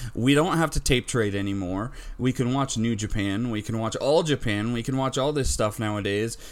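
With an unremarkable speaking voice, a man speaks at a medium pitch and a moderate pace, his pitch varying in an ordinary way and hardly any pauses breaking it up. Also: very clean recording, silent background. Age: 30s. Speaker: wrestling podcast host. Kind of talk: casual chat.

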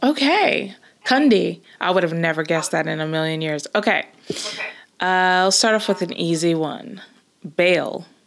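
A woman with a Southern California accent speaks at a fairly low pitch. Her intonation is lively and her pace moderate. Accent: American, Southern California. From Los Angeles, California. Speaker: podcast co-host. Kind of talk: casual chat.

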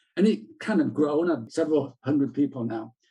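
With a Yorkshire accent, a man talks at a fairly quick pace in a dark, mellow tone, his pitch swinging very widely. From South Yorkshire, England. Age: 60s. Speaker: retired journalist and PR consultant. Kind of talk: interview conversation.

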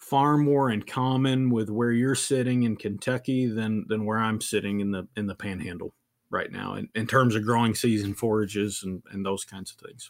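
Here a man with a plain, everyday voice speaks at a medium pitch and moderate pace, with ordinary pitch variation. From northern Virginia. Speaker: beef cattle nutrition specialist. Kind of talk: casual interview.

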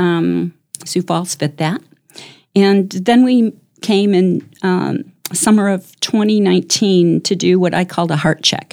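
A woman with an American accent speaks fairly slowly at a medium pitch with ordinary pitch variation, in an unremarkable speaking voice. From US Midwest, Chicago suburbs. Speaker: community volunteer, guest. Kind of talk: casual interview.

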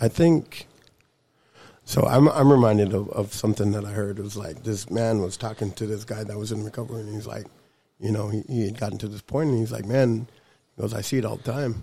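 A somewhat breathy man with a dark, mellow tone and fairly low pitch, ordinary pitch variation, at a fairly quick pace. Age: 30s. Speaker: person in recovery. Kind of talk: casual chat.

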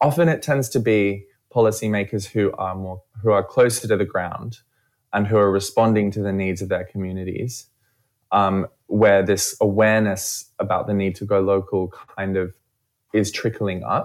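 With an Australian accent, a man speaks in a fairly low pitch and fairly even intonation on a very clean recording with a silent background. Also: moderate pace. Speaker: event organiser. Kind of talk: radio interview. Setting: studio.

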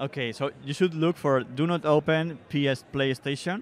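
Fairly slow delivery with a Spanish accent and fairly even intonation. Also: man. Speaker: indie horror game developer. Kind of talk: expo floor interview. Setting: trade show floor.

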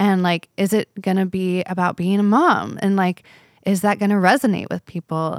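With an American accent, a woman at medium pitch speaks at a moderate pace with fairly even intonation in a dry, close sound with no echo. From Southern California, north of LA. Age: 30s. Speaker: singer-songwriter. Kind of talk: casual chat. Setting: outdoor patio.

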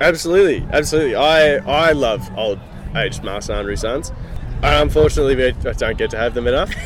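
A man talks at a fairly quick pace with an Australian accent. Noticeable background noise sits behind him. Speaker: winemaker. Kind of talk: casual interview.

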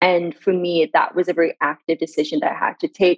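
A woman speaks with an Iranian accent. Her pace is moderate. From Sweden. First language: Farsi. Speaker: brand director and marketing expert. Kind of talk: casual interview conversation. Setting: video call.

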